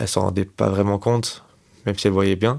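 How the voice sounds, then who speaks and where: This man's voice sits fairly low and stays in a flat monotone. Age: 20s. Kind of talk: interview answer. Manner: slow, hesitant.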